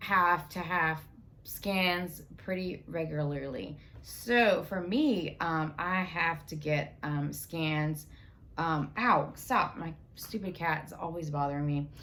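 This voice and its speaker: A woman with a very deep, low pitch and a bright, sharp tone speaks at a very slow pace with ordinary pitch variation, amid audible room echo. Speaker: cancer survivor vlogger. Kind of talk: casual vlog monologue. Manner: halting, many fillers.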